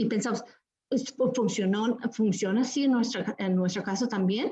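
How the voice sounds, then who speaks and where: Here a woman speaks with a dark, mellow tone. Her pitch varies in an ordinary way. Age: 50s. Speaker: novelist leading a book discussion. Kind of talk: literary discussion talk. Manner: halting, many repetitions and fillers.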